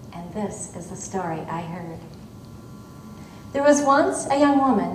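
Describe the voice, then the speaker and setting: Amid noticeable background noise, a woman with an American accent speaks with lively intonation. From Michigan. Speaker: storyteller. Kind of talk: live folktale telling to an audience. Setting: auditorium stage.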